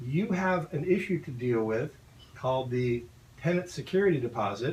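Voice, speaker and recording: This man's pitch swings very widely. He keeps to a moderate pace. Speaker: property manager. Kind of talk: radio talk show.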